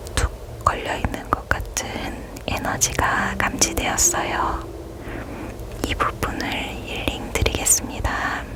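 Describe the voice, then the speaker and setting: Very slowly, a woman whispers. Behind her there is noticeable background noise. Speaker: reiki healer / ASMR healing guide. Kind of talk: ASMR crystal healing session addressed to the listener. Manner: soft, gentle, caring.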